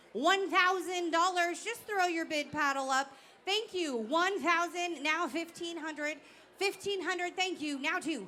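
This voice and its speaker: A woman uses a raised, projected voice at an extremely high pitch. She speaks at a fairly slow pace with ordinary pitch variation. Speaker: auctioneer. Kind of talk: live auction / gala emcee. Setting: stage with audience. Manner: loud.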